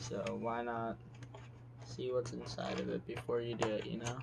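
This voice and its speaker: Quiet speech comes at a fairly slow pace, with audible room echo and noticeable background noise. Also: man. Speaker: gaming youtuber. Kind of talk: casual tutorial-style vlog. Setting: home basement floor.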